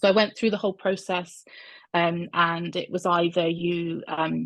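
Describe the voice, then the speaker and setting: Speaking in a Bristol accent at a moderate pace, a woman has a fairly low pitch and monotone, flat intonation against a quiet background. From England, Bristol. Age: 40s. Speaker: coaching client, health service worker. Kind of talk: interview testimony. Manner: hesitant, many fillers.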